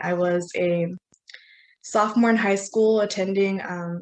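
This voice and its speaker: A woman talks at a medium pitch with fairly even intonation. It is a normal speaking voice. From US West, northern California. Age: young. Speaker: student keynote speaker. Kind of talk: conference keynote presentation. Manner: frequent filler 'um', some restarts.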